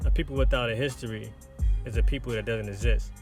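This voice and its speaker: Very fast speech over music in the background. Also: man. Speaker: minister. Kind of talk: religious teaching lesson.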